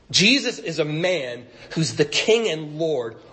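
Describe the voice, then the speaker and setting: A man with a high pitch and lively intonation is heard with audible room echo. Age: 50s. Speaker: pastor. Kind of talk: sermon. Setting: church stage at a podium.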